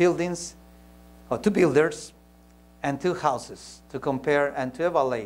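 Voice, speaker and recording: Speaking at a fairly slow pace, a man with a fairly high voice shows ordinary pitch variation. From Peru. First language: Spanish. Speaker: pastor; preacher or speaker. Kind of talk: sermon. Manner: halting, with frequent repetitions. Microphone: lapel.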